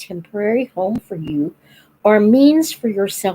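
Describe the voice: A plain read-aloud delivery.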